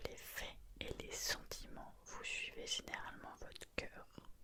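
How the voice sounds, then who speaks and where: Over noticeable background noise, a woman whispers at a very slow pace. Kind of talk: casual talk to camera. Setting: close mic, late night at home. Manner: whispered, soft-spoken.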